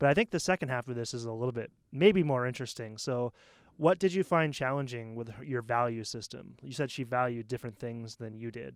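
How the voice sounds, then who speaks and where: A man at a medium pitch with an American accent, fairly quick pace and big swings in loudness, on a very clean, dry, close recording with a silent background and no echo. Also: ordinary pitch variation. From US Northeast, Maine. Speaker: podcast co-host. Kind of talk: casual chat. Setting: studio.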